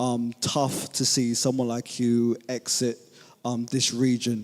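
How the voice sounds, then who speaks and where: Very slowly and in a monotone, a man with a London accent speaks at medium pitch. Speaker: journalist. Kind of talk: press conference question. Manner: halting, many ums.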